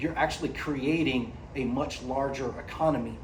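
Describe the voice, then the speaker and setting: Speaking with an American accent, a man sounds animated, his pitch varying in an ordinary way. There is audible room echo. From United States. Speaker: AI company executive, panelist. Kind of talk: panel discussion. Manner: animated, conversational with repetitions.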